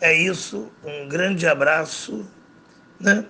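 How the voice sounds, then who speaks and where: A man with a fairly high pitch talks at a very slow pace, his pitch moving with ordinary variation. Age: 50s. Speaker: math teacher. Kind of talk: casual podcast talk, advice to students.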